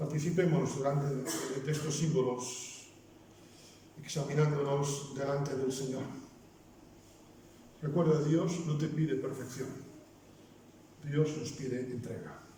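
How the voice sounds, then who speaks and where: A man with a Basque accent speaks at a fairly high pitch in a monotone, flat intonation, leaving long, frequent pauses. Noticeable background noise and audible room echo fill the recording. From Basque Country. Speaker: pastor. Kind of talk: sermon. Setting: church.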